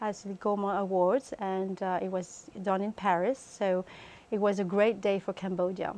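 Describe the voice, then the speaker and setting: A woman's medium-pitched voice with a French accent, dark and mellow in tone, flat and monotone in intonation, at a moderate pace. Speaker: cookbook author. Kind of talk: interview. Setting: TV studio. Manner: halting, many fillers.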